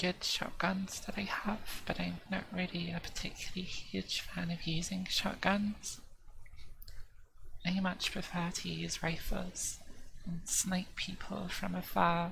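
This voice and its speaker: A soft-spoken woman with an English accent, talking at a fairly slow pace over noticeable background noise. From southern England. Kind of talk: ASMR gaming commentary.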